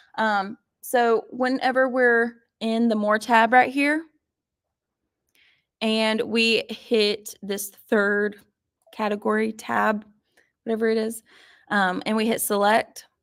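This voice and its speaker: Speaking in a Southern US accent, a woman with a fairly high pitch talks at a very slow pace in a monotone, flat intonation with long, frequent pauses. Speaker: sewing machine instructor. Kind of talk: live online class tutorial. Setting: livestream broadcast.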